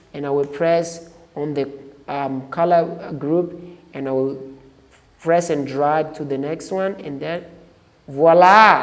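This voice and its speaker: Noticeable background noise sits under the voice. The pace is fairly slow. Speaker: photo editing tutor. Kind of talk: tutorial. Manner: halting with repetitions.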